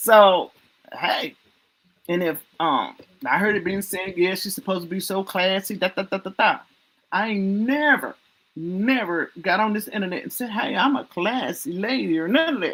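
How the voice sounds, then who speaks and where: Lively intonation marks a woman speaking in a Southern US accent. She has a medium pitch and a moderate pace. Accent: Southern US country. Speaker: livestream talk show host. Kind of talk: casual chat. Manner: animated.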